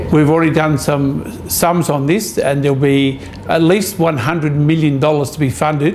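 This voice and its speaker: A man speaks at a fairly slow pace with ordinary pitch variation. Light background noise can be heard. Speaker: mayor. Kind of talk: interview answer. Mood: firm, concerned. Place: office.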